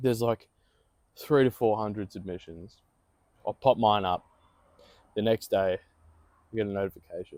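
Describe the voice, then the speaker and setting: A man's fairly low voice with an Australian accent, moderate pace, ordinary pitch variation, and long, frequent pauses. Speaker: podcast co-host and aspiring voice actor. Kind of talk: casual chat. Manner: animated.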